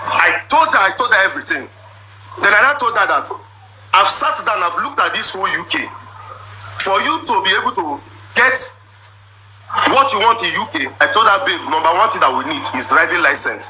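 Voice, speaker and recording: A man at a fairly quick pace with long, frequent pauses, amid noticeable background noise. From Nigeria, Igbo. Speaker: husband telling his side of a marital dispute. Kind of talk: emotional personal account, livestream. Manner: repetitive, emphatic.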